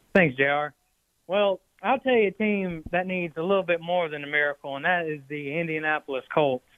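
A man with an American accent speaks at a high pitch. His pace is moderate and his pitch varies in an ordinary way. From Atlanta, US South. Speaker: caller. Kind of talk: call-in sports chat. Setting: phone call.

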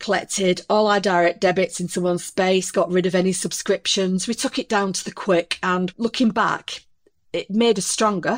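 With an unremarkable speaking voice, a woman talks at a moderate pace and medium pitch, her intonation fairly even. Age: 40s. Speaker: supermarket cashier, army veteran. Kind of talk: advice consultation.

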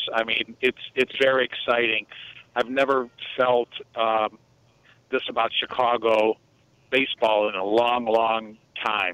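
A man with an American accent speaks at a fairly slow pace. His medium-pitched voice stays monotone and flat. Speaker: caller. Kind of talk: casual chat. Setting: phone call.

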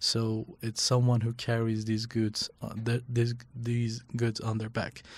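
A man with a Kurdish accent speaks at a very slow pace and medium pitch. He uses monotone, flat intonation with hardly any pauses. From northwest Iran. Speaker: fixer and translator. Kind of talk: casual interview.

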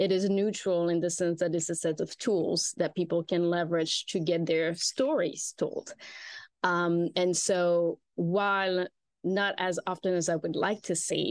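In a French accent, a woman speaks at a fairly slow pace with a fairly low pitch, fairly even intonation and very even loudness. The recording is very clean with a silent background, and the sound is dry and close with no echo. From rural France. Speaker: PR consultancy founder. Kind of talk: interview conversation.

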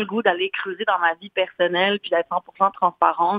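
This woman's voice sits at a medium pitch, moving at a moderate pace with fairly even intonation. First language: English or Spanish (speaking French). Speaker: singer and fashion model. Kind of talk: radio interview. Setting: phone call.

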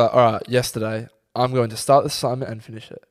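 A man with an Australian accent. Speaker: podcast co-host. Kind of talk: casual chat. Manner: laughs a lot.

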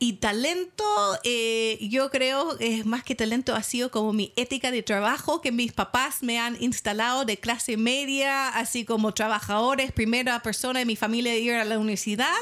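Keeping her loudness very even, a woman with a high pitch speaks at a moderate pace with fairly even intonation. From United States. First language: English (speaking Spanish). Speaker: sex shop founder. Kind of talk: casual interview.

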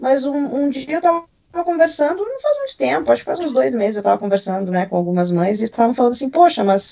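Fairly quick and high-pitched, a woman's voice has a dark, mellow tone and very wide pitch swings. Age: 40s. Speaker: tech professional. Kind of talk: interview testimony.

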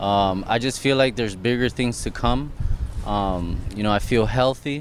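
Against noticeable background noise, a man talks at a moderate pace and medium pitch. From Miami, Florida, Puerto Rican and Colombian heritage. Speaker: professional boxer. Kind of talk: interview. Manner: halting.

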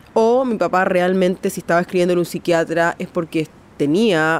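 At a moderate pace, a woman talks in a plain, everyday voice pitched fairly low. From Chile. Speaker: artist. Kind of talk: interview testimony.

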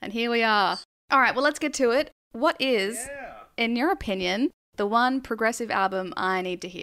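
On a very clean recording with a silent background, a woman talks at a moderate pace. Her fairly high voice has a bright, sharp tone and lively intonation. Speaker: podcast host. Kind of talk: casual interview chat.

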